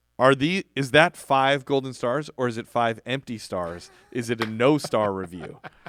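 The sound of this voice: Pitch variation stays ordinary. The voice is an unforced reading voice.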